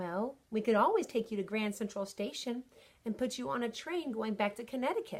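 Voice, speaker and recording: A woman's squeaky put-on character voice, fairly high in pitch, at a fairly quick pace. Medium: read story. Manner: breezy, streetwise.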